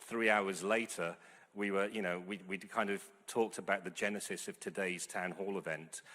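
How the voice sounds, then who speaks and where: A man speaks at a moderate pace with a fairly low voice. His intonation is monotone and flat. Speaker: sport organisation board chair, panel speaker. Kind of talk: conference speech. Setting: conference hall with live audience and Zoom. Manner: halting, many fillers and repetitions.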